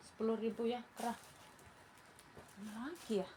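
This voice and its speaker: A woman talks at a fairly slow pace and a fairly high pitch, with noticeable background noise behind her. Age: old. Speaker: online clothing seller. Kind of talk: live sales pitch. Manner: casual, chatty.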